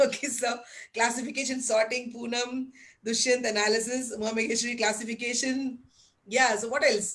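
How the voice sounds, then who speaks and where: A woman speaks loudly at a fairly quick pace, her high voice animated. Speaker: teacher trainer. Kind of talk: webinar lecture.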